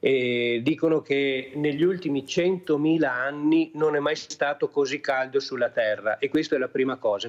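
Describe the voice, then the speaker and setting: A man with a fairly high-pitched voice, speaking at a moderate pace. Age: 60s. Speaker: journalist and climate commentator. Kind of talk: TV talk show discussion. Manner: halting, many fillers.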